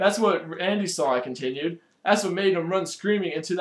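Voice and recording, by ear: Someone reads aloud here in a natural voice.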